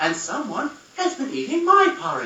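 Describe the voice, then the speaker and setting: A man speaks in a put-on character voice at an extremely high pitch. His pace is moderate, with a slight echo. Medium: read story.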